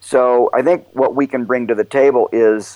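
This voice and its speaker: In a dry, close sound with no echo, a man with an American accent and an unremarkable speaking voice talks at medium pitch and a moderate pace. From Oklahoma. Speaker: mountaineer and nonprofit director. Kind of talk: interview.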